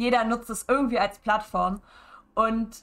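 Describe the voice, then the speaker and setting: Her voice sits at a fairly high pitch for a woman, with ordinary pitch variation. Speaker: streamer. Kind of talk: casual streaming talk. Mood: opinionated, mildly annoyed. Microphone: headset.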